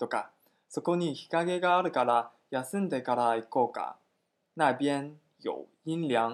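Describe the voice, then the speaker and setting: A man with a Chinese accent speaks at a very slow pace and a fairly high pitch, with ordinary pitch variation. The recording is very clean, with a silent background. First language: Chinese (speaking Japanese). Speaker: Chinese language teacher. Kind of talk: language lesson dialogue.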